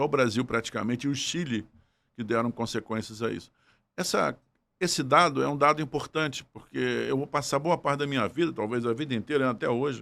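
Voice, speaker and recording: With a bright, sharp tone and vocal fry, a man talks at a fairly quick pace and a medium pitch with ordinary pitch variation. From Brazil, Niterói (Rio de Janeiro state). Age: 60s. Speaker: federal judge and law professor. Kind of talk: podcast interview, life story. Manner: reflective, with hesitations.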